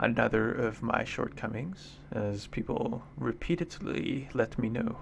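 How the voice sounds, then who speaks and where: Medium-pitched male speech at a fairly slow pace, with lively intonation over noticeable background noise. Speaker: go player and streamer. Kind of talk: game commentary. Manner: upspeak; casual, laughing at own jokes.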